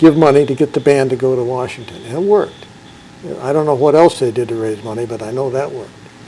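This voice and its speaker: A fairly high-pitched man with ordinary pitch variation, over noticeable background noise. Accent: American. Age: 70s. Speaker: former drum major, school alumnus. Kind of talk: interview. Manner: conversational, with many filler words.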